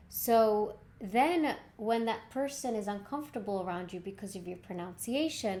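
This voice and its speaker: Audible room echo surrounds a woman whose dark, mellow tone and fairly high pitch move with ordinary pitch variation at a moderate pace. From Czech Republic. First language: Czech. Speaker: communication coach. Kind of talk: tutorial.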